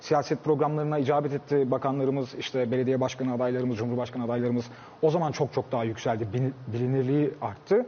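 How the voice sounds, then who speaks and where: This man's pitch is medium and his intonation fairly even. He speaks at a very fast pace. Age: 30s. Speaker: social media content creator. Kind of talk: casual chat.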